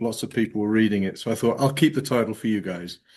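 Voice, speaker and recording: The background is quiet. Pitch variation in the voice is ordinary. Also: man. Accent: English. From England. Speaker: geospatial and AI consultant. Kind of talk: presentation.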